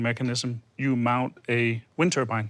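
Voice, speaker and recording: A man with a Danish accent on a very clean recording with a silent background. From Denmark. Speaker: wind energy consultant. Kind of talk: panel discussion.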